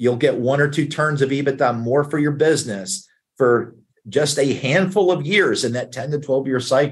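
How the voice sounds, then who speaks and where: A man with a fairly high voice, somewhat breathy. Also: ordinary pitch variation, moderate pace. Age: 60s. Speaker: investment banker, business broker. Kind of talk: interview.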